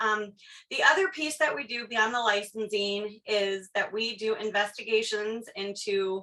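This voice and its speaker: Speaking loudly and at a fairly slow pace, a woman uses a bright, sharp tone with a fairly high pitch and ordinary pitch variation. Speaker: state education board official giving training. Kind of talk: presentation. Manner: many filler words (um).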